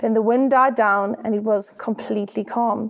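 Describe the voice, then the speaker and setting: A woman's fairly high voice with a South African accent, set against noticeable background noise. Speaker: church staff member, preacher. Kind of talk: sermon.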